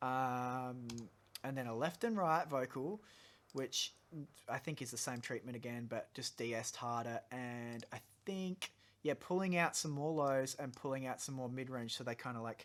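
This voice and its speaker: At a medium pitch with ordinary variation, a man speaks at a moderate pace in a very clean recording with a silent background. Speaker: audio engineer. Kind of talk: tutorial. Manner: casual.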